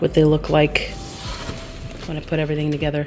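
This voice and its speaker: With music behind her, a woman talks at a very deep, low pitch. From Canada, Montreal. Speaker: vlogger. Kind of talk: casual vlog. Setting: at home at night, basement.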